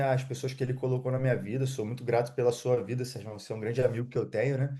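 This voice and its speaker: Against a quiet background, a man speaks at a medium pitch with a dark, mellow tone that is somewhat breathy. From Rio de Janeiro state, Brazil. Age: 30s. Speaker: digital affiliate marketer. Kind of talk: interview. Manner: halting.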